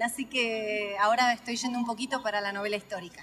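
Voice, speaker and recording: A woman speaks in a Rioplatense accent. Her pitch is fairly high. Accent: Argentine Spanish (rioplatense). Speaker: author. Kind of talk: interview.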